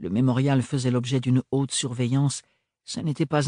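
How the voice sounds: A natural reading voice over a quiet background.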